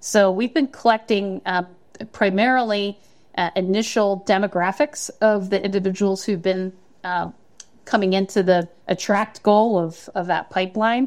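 A woman speaks at a medium pitch in an American accent, with fairly even intonation. It is a normal speaking voice at a moderate pace. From Pennsylvania, Bucks County area. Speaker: college workforce training director. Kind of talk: interview.

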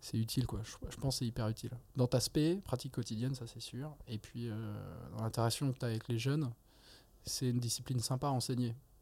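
Talking at a very fast pace, a man's somewhat breathy, medium-pitched voice carries a dark, mellow tone and fairly even intonation. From France. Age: 30s. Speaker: neurosurgeon and anatomy lecturer. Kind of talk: casual interview.

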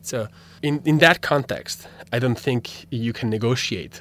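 A man is speaking. He has an Italian accent. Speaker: philosophy graduate student. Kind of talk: interview. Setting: radio studio. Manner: halting.

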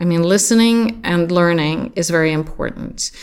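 A woman's voice with a Swedish accent and ordinary pitch variation. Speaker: creative agency founder. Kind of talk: interview.

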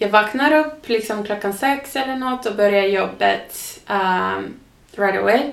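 There is audible room echo as a woman with a Finnish accent speaks at a medium pitch. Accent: Finnish-accented Swedish. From southern Finland, near Turku. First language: Finnish (speaking Swedish). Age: 30s. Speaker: podcast guest. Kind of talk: casual interview. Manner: halting, with fillers; mixes in English words.

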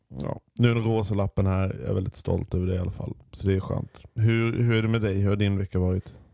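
A man with a dark, mellow tone and fairly low pitch speaks at a very fast pace with fairly even intonation, the sound dry and close with no echo. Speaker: podcast co-host, radio entrepreneur. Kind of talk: casual chat.

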